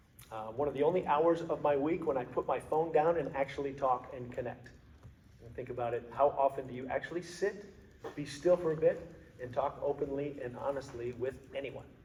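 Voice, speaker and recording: There is noticeable background noise behind this man's fairly high voice. He talks at a fairly quick pace, with ordinary pitch variation and big swings in loudness. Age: 50s. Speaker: motivational speaker, former cop and athlete. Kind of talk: talk to a men's group. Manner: frequent fillers and repetitions.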